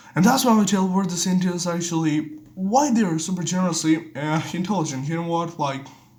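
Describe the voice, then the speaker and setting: Over noticeable background noise and audible room echo, a man with a high pitch talks at a fairly quick pace. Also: ordinary pitch variation. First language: Bengali. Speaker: vlogger. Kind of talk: casual monologue. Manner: halting.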